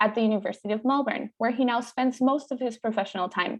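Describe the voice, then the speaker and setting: A woman speaks with a Spanish accent in a high voice. Her pitch varies in an ordinary way, with music playing behind her. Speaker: veterinary student, event host. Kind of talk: formal introduction. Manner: formal.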